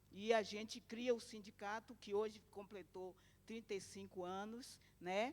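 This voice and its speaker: A woman talks at a fairly slow pace in a plain, everyday voice. Her pitch sits in the medium range, with ordinary pitch variation. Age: 60s. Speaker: domestic workers' union activist. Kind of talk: conference talk.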